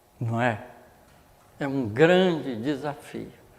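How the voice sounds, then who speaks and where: Audible room echo carries a man's lively intonation. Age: 80s+. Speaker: spiritist lecturer. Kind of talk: religious lecture. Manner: conversational, storytelling.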